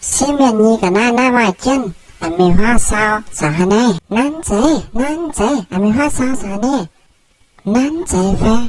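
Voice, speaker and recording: Using a put-on character voice, a woman speaks fairly slowly at a fairly high pitch with long, frequent pauses. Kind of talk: comic dubbing. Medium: fan dub. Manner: loud, quarrelsome.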